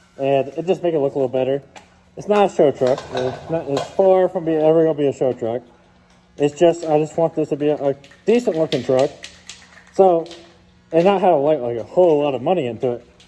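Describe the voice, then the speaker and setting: A fairly high-pitched man at a fairly quick pace, with long, frequent pauses, ordinary pitch variation and noticeable background noise. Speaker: truck vlogger. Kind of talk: casual vlog narration. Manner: halting, many fillers.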